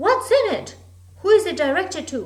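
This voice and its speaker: Putting on a character voice, a woman talks at a moderate pace with an extremely high pitch and very wide swings in pitch. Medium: read story. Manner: imperious, shrill commands.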